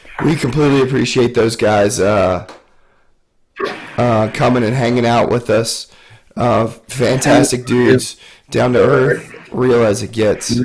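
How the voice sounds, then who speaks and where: Using a put-on character voice, the speaker sounds raspy and hoarse, moving at a fairly slow pace with fairly even intonation. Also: man, medium pitch for a man. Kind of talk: casual, thankful.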